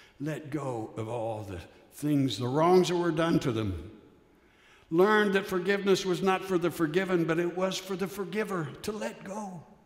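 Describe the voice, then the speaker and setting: A man with a high voice speaks at a moderate pace with lively intonation, and the room echo is audible. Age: 70s. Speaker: retired minister. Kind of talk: sermon. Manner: conversational, reflective.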